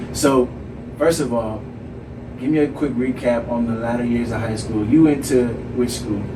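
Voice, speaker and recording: A man's fairly even, American-accented speech with long, frequent pauses, noticeable background noise and audible room echo. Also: medium pitch for a man, moderate pace. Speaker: podcast host. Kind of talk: casual interview.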